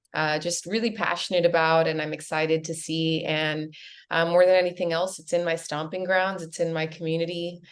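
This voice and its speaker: A fairly low-pitched woman's voice with an American accent, fairly quick, in a monotone, flat intonation. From US, Miami. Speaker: real estate agent. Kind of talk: webinar presentation.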